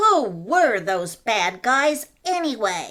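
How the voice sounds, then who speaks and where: A cartoonish character voice that sounds female, pitched fairly high with very wide pitch swings. It moves at a very slow pace. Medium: puppet.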